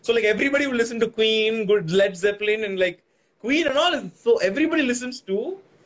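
Speaking with a Tamil accent at a very fast pace, this voice has lively intonation and an animated tone. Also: man, extremely high pitch for a man. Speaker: podcast host. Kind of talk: casual chat. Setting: video call.

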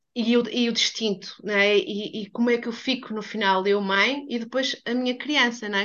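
This woman has an ordinary speaking voice, fairly high in pitch, with ordinary pitch variation and a moderate pace. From Portugal. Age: 40s. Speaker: human biography therapist. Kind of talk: casual chat.

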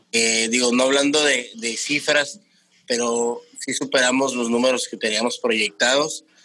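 A man's unremarkable speaking voice, medium in pitch, fairly slow and fairly even in intonation. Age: 30s. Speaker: entrepreneur, restaurant owner. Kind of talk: interview.

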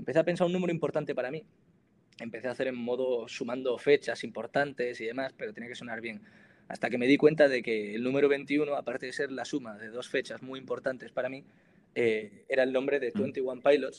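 This man has an ordinary speaking voice at medium pitch with ordinary pitch variation. He talks at a fairly quick pace with big swings in loudness. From Spain, Granada (Andalusia). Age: 20s. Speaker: singer-songwriter and student. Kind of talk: interview.

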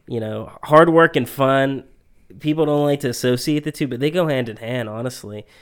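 Speaking in a plain, everyday voice, a man keeps a medium pitch. He goes at a fairly quick pace in a very clean recording with a silent background. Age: 20s. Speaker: podcast co-host. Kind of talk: casual chat. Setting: studio.

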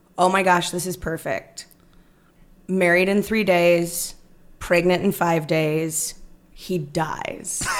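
With music in the background, a woman with an American accent speaks very slowly at a fairly low pitch, using monotone, flat intonation and long, frequent pauses. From Northern California (Stockton). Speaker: actress and improviser. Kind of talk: casual chat.

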